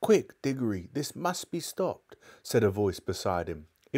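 The recording consists of plain reading aloud.

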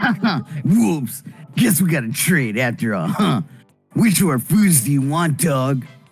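A put-on character voice delivered at a fairly slow pace, with faint music in the background. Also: man, fairly high pitch for a man. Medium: game stream. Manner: casual, slangy.

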